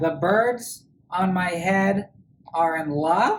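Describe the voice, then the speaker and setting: At a very slow pace, a woman performs a put-on character voice. Her pitch sits in the medium range. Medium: read story. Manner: anxious, exclaiming.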